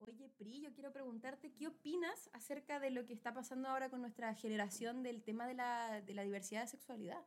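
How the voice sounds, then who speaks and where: In a Chilean accent, a woman speaks at a fairly quick pace with hardly any pauses. Her pitch is high, with ordinary variation. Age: 20s. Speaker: podcast co-host. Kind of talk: casual chat.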